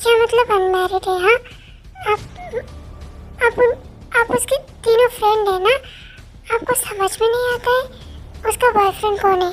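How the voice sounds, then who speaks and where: Over clear music in the background, a woman in a put-on character voice speaks at an extremely high pitch and a moderate pace, with fairly even intonation and long, frequent pauses. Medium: read story. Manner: blunt, lecturing.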